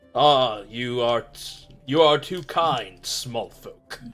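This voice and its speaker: Over faint music in the background, a man uses a put-on character voice at a medium pitch and a very slow pace. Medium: actual play. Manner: chuckling, relaxed, gracious.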